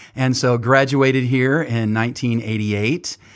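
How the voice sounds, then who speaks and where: This man has a normal speaking voice at a medium pitch. The recording is very clean, with a silent background. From California (Oildale, near Bakersfield). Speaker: ministry leader and university program director. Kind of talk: interview.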